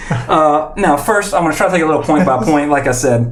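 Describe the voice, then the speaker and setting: The man's voice sits at a fairly high pitch. Audible room echo surrounds his speech. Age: 30s. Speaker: podcast host. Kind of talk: casual chat.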